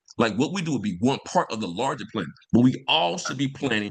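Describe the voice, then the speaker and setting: A man's energetic voice with vocal fry, fairly quick pacing, and very wide swings in pitch. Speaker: environmental justice professor and nonprofit founder. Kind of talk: interview on a video call. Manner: fast; energetic hype-man delivery.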